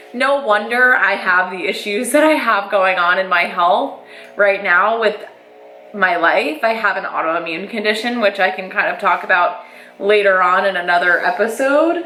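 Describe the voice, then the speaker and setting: A woman speaks with audible room echo and music playing in the background. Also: medium pitch for a woman, ordinary pitch variation, moderate pace. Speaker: lifestyle vlogger. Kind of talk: casual personal monologue. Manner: loud.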